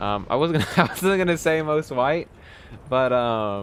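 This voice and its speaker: A man with a slight Texan accent speaks with lively intonation. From Texas. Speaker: game streamer. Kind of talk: casual chat. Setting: live stream with webcam.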